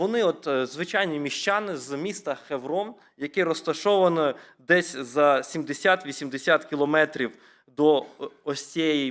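At a fairly slow pace, a man with an ordinary speaking voice and fairly high pitch shows ordinary pitch variation in a very clean recording with a silent background. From Ukraine, rural Rivne region (Sarny district). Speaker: preacher. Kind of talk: sermon.

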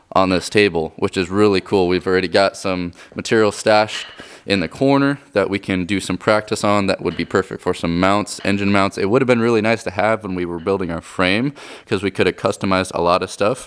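A man talks at a fairly quick pace in a fairly low pitch. He has an ordinary speaking voice with fairly even intonation. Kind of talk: casual vlog chat. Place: garage. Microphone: phone near.

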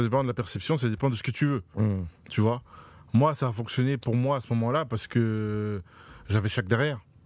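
Set against a quiet background, a man's medium-pitched voice comes across dry, with no echo. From France, Dreux (Eure-et-Loir); France. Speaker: professional handball player; guest. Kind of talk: casual interview. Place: studio. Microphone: studio mic.

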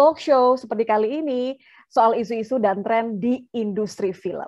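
A woman speaks at a fairly slow pace in a high pitch with ordinary pitch variation against a quiet background. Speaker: event host moderator. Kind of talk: host introduction. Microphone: webcam.

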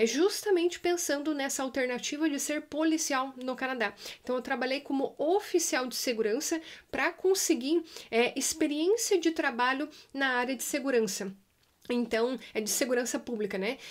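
Her intonation is lively and her pace moderate. This woman speaks at a high pitch. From Brazil. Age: 30s. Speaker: YouTuber sharing immigrant life; immigrant vlogger. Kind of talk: casual vlog Q&A. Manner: frequent hesitation fillers. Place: home room.

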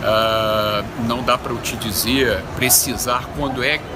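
Loud background noise is heard throughout. Over it, a man talks. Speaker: hospital medical director, admiral. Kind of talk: interview answer. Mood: calm, measured. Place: street. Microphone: phone near.

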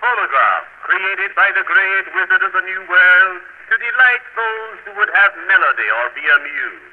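Against noticeable background noise, a man with a high pitch talks with hardly any pauses and ordinary pitch variation. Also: moderate pace. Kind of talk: 1900s phonograph advertisement read aloud, sales pitch in the phonograph's own voice. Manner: formal, grand and old-fashioned, persuasive and warmly flowery; measured, steady declamatory delivery, dramatic and theatrical.

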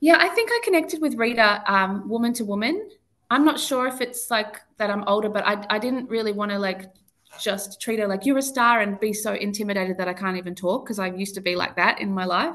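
A woman talks at a fairly quick pace with an Australian accent. Her voice is fairly high, with ordinary pitch variation. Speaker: singer, talent show winner. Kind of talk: interview. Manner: hesitant.

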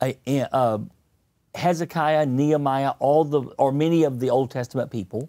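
This man's voice sits fairly high, with a dark, mellow tone and fairly even intonation. He speaks at a moderate pace over a quiet background. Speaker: pastor. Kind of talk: sermon-style teaching with interpreter. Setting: studio. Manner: speaks in short segments. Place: studio. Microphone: lapel.

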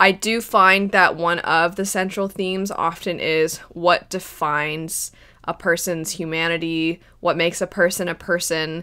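Against a quiet background, a woman talks in a fairly low pitch with ordinary pitch variation. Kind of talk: commentary on a show. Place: home room.

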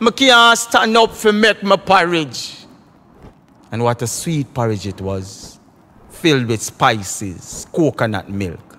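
Speaking in a Jamaican accent, a man talks at a fairly slow pace, his pitch swinging very widely. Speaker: dub poet. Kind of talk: poetry reading.

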